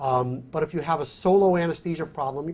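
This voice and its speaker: A somewhat breathy man with a New York accent, at a fairly quick pace with ordinary pitch variation. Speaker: physician and company executive, conference speaker. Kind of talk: conference presentation with Q&A.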